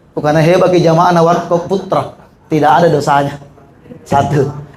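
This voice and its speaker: A man's fairly quick speech is heard with audible echo in the room and noticeable noise behind it. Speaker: Islamic preacher and university lecturer. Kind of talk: sermon. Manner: conversational, joking.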